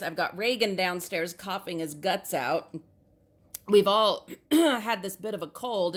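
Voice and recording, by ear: A woman's put-on character voice, raspy and medium in pitch, at a fairly slow pace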